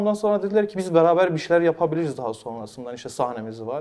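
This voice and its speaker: A man with a Kurdish accent, very fast, with a dark, mellow tone and very wide pitch swings. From Mardin, southeastern Turkey. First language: Kurdish (speaking Turkish). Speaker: talk show host and dubbing artist. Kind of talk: interview. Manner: halting with many fillers.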